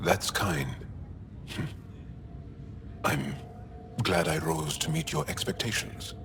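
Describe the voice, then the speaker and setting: A man in a put-on character voice with a very deep, low pitch talks at a fairly slow pace over loud background noise. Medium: short film. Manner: teasing, warm.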